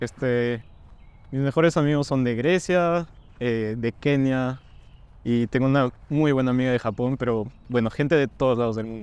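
The pace is moderate and the pitch variation ordinary for this man. No echo, just a dry sound. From Peru, Cajamarca; Peru. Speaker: university student. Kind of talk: interview Q&A. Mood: friendly, relaxed. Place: street.

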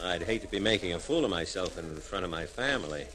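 There is light background noise. Over it, a man speaks at a moderate pace. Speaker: actor playing a police officer. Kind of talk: radio drama dialogue. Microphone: old recording.

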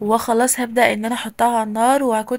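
A woman talks with an Egyptian accent. Her pitch is fairly high, and her pace is moderate. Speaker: lifestyle vlogger. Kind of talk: home vlog narration. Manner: animated.

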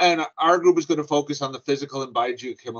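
The clip has a man speaking over a quiet background. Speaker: presenter. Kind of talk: conference presentation. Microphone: video call.

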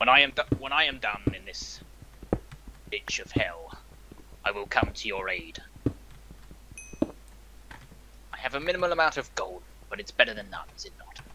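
A man puts on a raspy character voice and speaks at a fairly slow pace with long, frequent pauses. Background noise is clearly audible.

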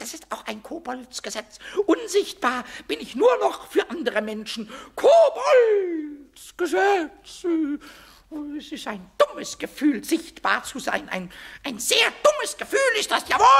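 A man uses a put-on character voice at an extremely high pitch. He speaks fairly slowly with long, frequent pauses. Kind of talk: children's audio drama. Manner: excitable, stammering.

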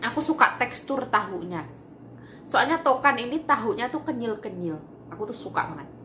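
A woman's voice makes very wide pitch swings at a moderate pace. Light background noise is audible. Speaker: home cooking vlogger. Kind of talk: casual vlog chat. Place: kitchen. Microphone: phone near.

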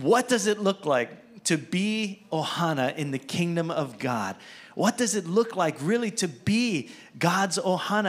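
Lively intonation marks this man's voice. He speaks at a fairly slow pace. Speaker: preacher. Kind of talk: sermon. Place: church. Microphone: handheld.

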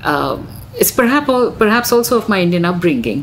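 The woman's delivery is fairly quick. There is noticeable noise behind her. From India. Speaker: visual artist and photographer. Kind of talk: casual chat. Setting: office.

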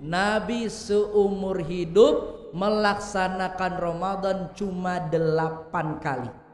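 Audible room echo surrounds a man's animated, high-pitched voice, with a quiet background. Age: 30s. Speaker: Islamic preacher; preacher. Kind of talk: sermon. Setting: mosque hall with live audience. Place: hall. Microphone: podium.

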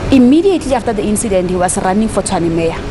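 Noticeable background noise sits behind a woman who talks at a fairly quick speed. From South Africa. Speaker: provincial legislator. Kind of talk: news interview soundbite. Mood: serious, firm. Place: garden.

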